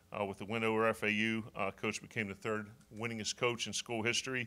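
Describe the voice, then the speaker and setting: Faint music plays in the background as a man speaks with monotone, flat intonation. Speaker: football coach. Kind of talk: press conference statement. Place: meeting room. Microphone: podium.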